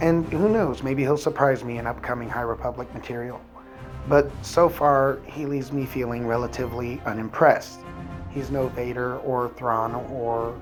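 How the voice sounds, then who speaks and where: With music in the background, a man talks at a moderate pace and medium pitch, using ordinary pitch variation. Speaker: book reviewer. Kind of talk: casual talk to camera.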